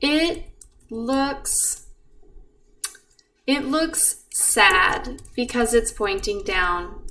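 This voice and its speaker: In a room with audible echo, a woman with a high voice speaks very slowly in a calm tone, with very wide pitch swings and long, frequent pauses. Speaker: math teacher. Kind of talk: tutorial.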